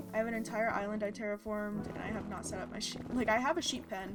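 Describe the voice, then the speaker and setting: A soft-spoken woman talks at a fairly quick pace with fairly even intonation. Her pitch is medium, and music plays in the background. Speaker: streamer. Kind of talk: live gaming stream chat. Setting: live stream.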